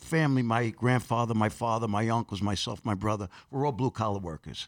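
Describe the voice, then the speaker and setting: A man with a New York accent talks at a medium pitch and a fairly quick pace, with hardly any pauses. His pitch variation is ordinary, and the sound is dry and close with no echo. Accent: New York (Queens). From Corona, Queens, New York City. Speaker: actor and personal trainer. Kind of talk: interview.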